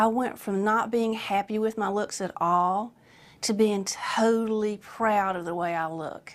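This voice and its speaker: A woman talks at a fairly slow pace with fairly even intonation. She has an unremarkable speaking voice. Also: fairly high pitch for a woman. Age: 60s. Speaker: patient. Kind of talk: testimonial.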